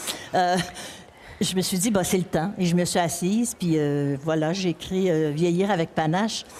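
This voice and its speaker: Amid noticeable background noise, a woman with a fairly low pitch talks at a fairly slow pace, keeping her intonation fairly even and her loudness very even. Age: 70s. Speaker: author. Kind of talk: panel discussion. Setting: stage at a book fair.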